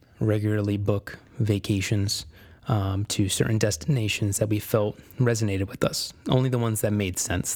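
In a very clean recording with a silent background, a man with an American accent speaks in a somewhat breathy voice with fairly even intonation. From Connecticut, US. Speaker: podcast host. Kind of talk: solo motivational monologue.

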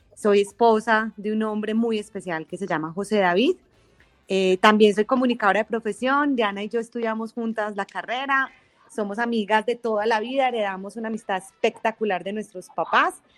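A woman with a Colombian paisa accent speaks at a moderate pace and a fairly high pitch, with ordinary pitch variation. The sound is dry and close, with no echo. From Colombia, Manizales. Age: 40s. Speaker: podcast co-host, communicator and teacher. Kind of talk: casual chat. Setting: remote call over internet.

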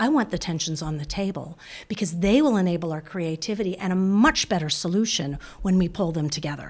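A woman with an American accent has a normal speaking voice, fairly low in pitch, and talks at a fairly quick pace with lively intonation. The recording is very clean, with a silent background. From US (Boston, Palo Alto). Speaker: business school dean and professor. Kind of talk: interview.

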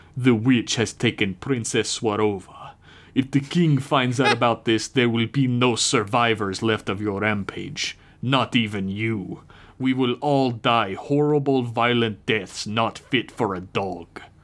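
The voice moves at a fairly slow pace. Its tone is menacing. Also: man, medium pitch for a man. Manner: menacing, clipped.

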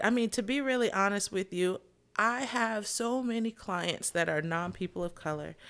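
In an American accent, a woman speaks at a moderate pace with ordinary pitch variation. It is an unremarkable speaking voice on a very clean recording with a silent background. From US South. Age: 30s. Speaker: podcast co-host. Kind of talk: casual chat.

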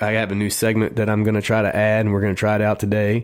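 A man with a Texas accent speaks in a fairly low voice. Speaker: radio host. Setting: radio studio. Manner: animated; chatty and conversational, quick with a joke.

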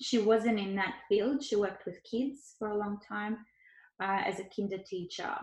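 A woman talks with an Australian accent. Her pitch is medium with ordinary variation. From Ukraine, moved to Australia as a child. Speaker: Chinese medicine doctor and doula. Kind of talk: casual interview. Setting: at home on couch, remote recording.

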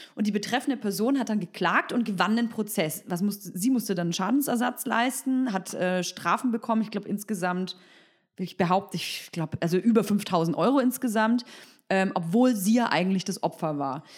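A somewhat breathy woman's voice comes through on a very clean recording with a silent background. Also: medium pitch for a woman, ordinary pitch variation, moderate pace. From Berlin, Germany. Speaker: podcast host. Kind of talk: casual interview.

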